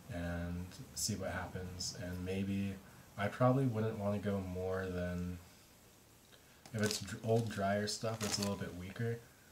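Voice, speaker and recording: Over noticeable background noise, a man speaks at a fairly slow pace with a fairly low pitch. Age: young. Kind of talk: casual talk to camera. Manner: mumbling, halting, many filler words.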